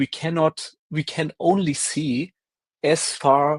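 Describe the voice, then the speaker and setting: With a German accent, a man speaks in a dry, close sound with no echo. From Germany. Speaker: science debunking stream co-host. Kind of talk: casual live stream discussion. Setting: live stream video call, screen sharing.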